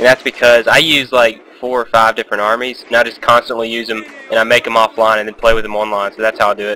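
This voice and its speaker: At a very fast pace with hardly any pauses, a man at medium pitch speaks in a monotone, flat intonation over noticeable background noise. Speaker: gaming commentator. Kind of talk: gameplay commentary. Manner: casual, hesitant with fillers.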